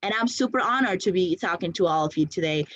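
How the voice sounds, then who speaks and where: This woman speaks with a non-native accent. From outside the US, came at 17. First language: not English. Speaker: conference speaker, startup founder. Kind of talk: conference talk. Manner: energetic.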